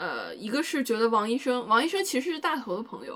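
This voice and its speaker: Speaking at a fairly quick pace, the woman lets her pitch swing very widely. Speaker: podcast co-host. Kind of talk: casual chat.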